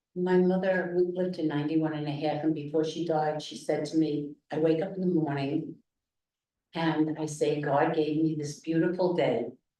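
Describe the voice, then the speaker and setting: A woman with a very deep, low pitch and a dark, mellow tone speaks in a monotone, flat intonation at a moderate pace, with audible room echo. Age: 80s. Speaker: class participant. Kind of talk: class discussion.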